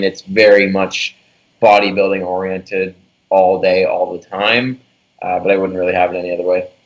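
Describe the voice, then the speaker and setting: A man with a fairly low pitch and a plain, everyday voice talks at a medium speed. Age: 20s. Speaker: bodybuilder and fitness coach. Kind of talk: casual podcast interview.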